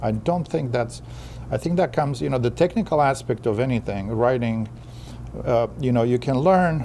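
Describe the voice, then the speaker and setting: The man talks with a medium pitch, keeping his pace moderate. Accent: non-native. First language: not English. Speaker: author and poet. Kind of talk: interview. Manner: halting, repeats words.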